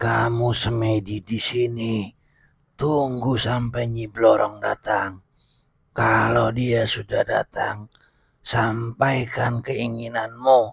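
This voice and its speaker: A man's put-on character voice at a medium pitch, very slow and monotone, with flat intonation. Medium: audio drama. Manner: blunt, authoritative.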